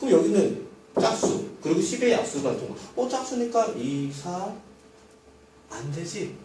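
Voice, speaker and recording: A man speaks at a fairly slow pace with a high pitch and very wide pitch swings. Audible room echo and noticeable background noise fill the recording. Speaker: math teacher. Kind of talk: lecture. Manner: animated.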